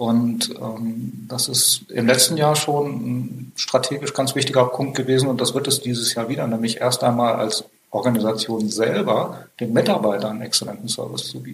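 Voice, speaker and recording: Barely pausing, a man speaks at a moderate pace and a medium pitch with fairly even intonation. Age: 50s. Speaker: IT company founder and managing director. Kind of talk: interview. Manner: frequent hesitations.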